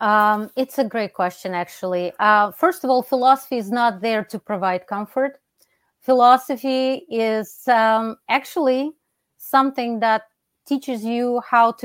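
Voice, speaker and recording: Speaking at a fairly slow pace, a fairly high-pitched woman with a Russian accent is heard dry and close with no echo on a very clean recording with a silent background. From Russia (Soviet Union). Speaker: philosophy professor. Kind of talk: interview.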